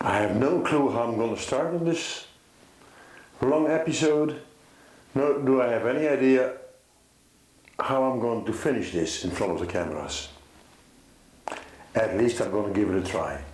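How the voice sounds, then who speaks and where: Noticeable background noise and audible room echo surround a man of medium pitch who speaks with a Dutch accent and takes long, frequent pauses. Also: lively intonation, moderate pace. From Netherlands. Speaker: concerned father. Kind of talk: personal testimony to camera. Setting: filmed with two cameras. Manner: halting.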